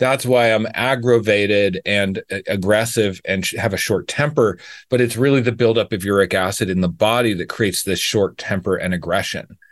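A man with a fairly low pitch at a moderate pace, hardly any pauses, ordinary pitch variation and a plain, everyday voice, against a quiet background. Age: 50s. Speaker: raw vegan health coach. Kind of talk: casual interview.

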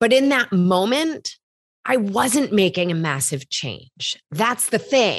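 In a quiet background, a woman with a medium pitch and vocal fry talks at a very slow pace, her pitch swinging very widely. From US Midwest. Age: 30s. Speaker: health coach. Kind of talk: casual interview chat.

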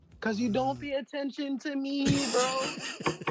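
A female-sounding voice puts on a character voice with a high pitch. The pace is moderate. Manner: whiny, complaining.

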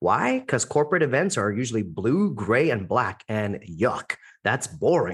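With an American accent and vocal fry, the speaker uses a confident, animated tone with very wide pitch swings at a moderate pace against a quiet background. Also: man. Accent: American-sounding English. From India, raised internationally in many countries. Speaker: event MC and public speaking coach. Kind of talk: podcast interview.

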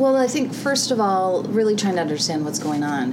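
A woman's medium-pitched voice with an American accent, lively intonation and a moderate pace, over noticeable background noise. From US Midwest. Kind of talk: interview. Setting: at a conference.

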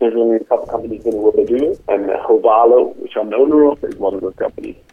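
A man with a Dutch accent speaks over noticeable background noise. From Netherlands. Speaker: online dating service owner. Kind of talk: interview.

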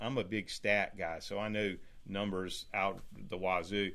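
A man speaks in a North Carolina accent. His pitch variation is ordinary. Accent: US Southern (North Carolina). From North Carolina, small town. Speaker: real estate team owner. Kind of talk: casual interview.

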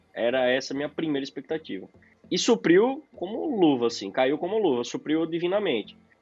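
Here a man talks at a fairly quick pace. His pitch sits fairly high and swings very widely. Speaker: podcast co-host, software developer. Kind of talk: casual chat.

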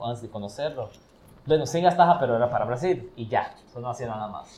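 Somewhat breathy speech with ordinary pitch variation. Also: man. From Brazil. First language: Portuguese (speaking Spanish). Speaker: podcast guest, traveler. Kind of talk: casual chat.

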